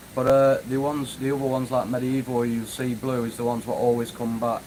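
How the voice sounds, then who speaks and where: A man with a Manchester accent speaks in a medium-pitched voice with monotone, flat intonation. Background noise is noticeable. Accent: northern English (Manchester area). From northwest England, near Manchester. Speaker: YouTuber, urban explorer. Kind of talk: live stream chat. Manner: casual, hesitant with fillers.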